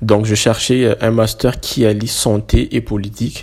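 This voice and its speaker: Monotone, flat delivery from a man at a fairly low pitch, over noticeable background noise. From Madagascar. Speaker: student. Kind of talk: interview.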